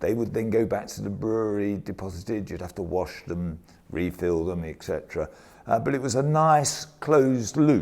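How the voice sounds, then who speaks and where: An unremarkable speaking voice from a man, fairly low in pitch, at a moderate pace with lively intonation. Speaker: brewing industry worker, bottling. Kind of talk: oral history interview answer.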